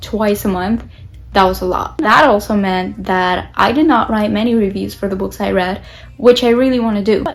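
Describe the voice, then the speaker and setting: A woman with a Spanish accent speaks at a moderate pace, her fairly high pitch moving with ordinary variation. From Latin America. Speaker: book vlogger. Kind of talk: casual vlog talk to camera.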